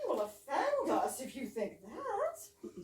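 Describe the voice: A put-on character voice from a woman, high-pitched with very wide pitch swings, at a slow pace amid audible room echo.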